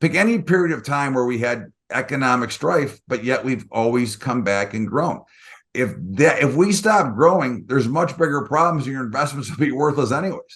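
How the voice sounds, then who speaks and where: At a moderate pace, a man in a normal speaking voice talks with a fairly high pitch and lively intonation. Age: 60s. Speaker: market strategist. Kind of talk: interview.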